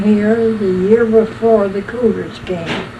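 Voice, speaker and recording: A woman talks at a very slow pace with monotone, flat intonation. Noticeable background noise sits behind her. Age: 80s+. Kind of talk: oral history interview answer. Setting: cassette recording.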